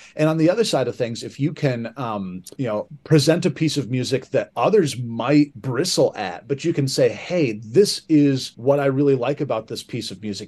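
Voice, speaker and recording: A man with a Midwestern American accent, medium-pitched, at a moderate pace. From southern Michigan. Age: 40s. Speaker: high school band director. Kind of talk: casual interview. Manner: hesitant with many fillers.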